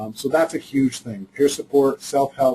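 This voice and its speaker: A man speaks at a fairly quick pace in a somewhat breathy voice with a dark, mellow tone. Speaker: mental health agency presenter. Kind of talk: webinar presentation. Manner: fast; halting, many fillers.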